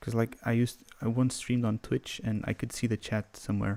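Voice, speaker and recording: A soft-spoken man talks in a dark, mellow tone with monotone, flat intonation. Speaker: music producer; livestreamer. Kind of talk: livestream tutorial. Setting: livestream from home computer. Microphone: studio mic.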